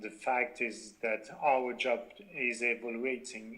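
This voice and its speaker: A man with a French accent, medium in pitch, at a very slow pace. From Belgium. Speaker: company founder. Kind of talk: interview. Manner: halting, many fillers.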